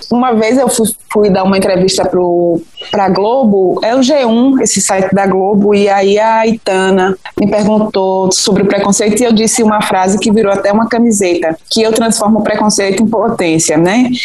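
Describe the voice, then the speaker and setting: Over noticeable background noise, a woman talks at a moderate pace in a medium pitch, her loudness very even. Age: 40s. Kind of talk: interview, personal testimony.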